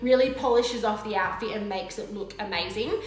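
A woman talks at a moderate pace. Room echo is audible around her.

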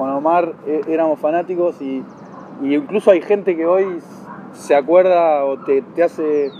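A man talks in a high voice with a Rioplatense accent. Light background noise sits behind him. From Argentina. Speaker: tennis channel interviewer. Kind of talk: interview. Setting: tennis club. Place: garden.

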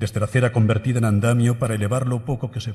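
Man with a dark, mellow, solemn tone, fairly even intonation, and a very fast pace against a quiet background. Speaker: pregón speaker (Holy Week proclamation orator). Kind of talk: pregón oratory, solemn poetic Holy Week proclamation delivered to an audience. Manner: solemn, rhythmic and emotive, lyrical cadence with evocative, measured pauses. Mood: solemn, emotive. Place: hall. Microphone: podium.

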